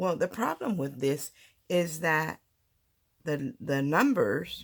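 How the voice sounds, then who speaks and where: A woman speaks at a very slow pace with a very deep, low pitch and very wide pitch swings. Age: 60s. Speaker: papercraft channel host. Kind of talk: tutorial. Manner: casual, halting with fillers.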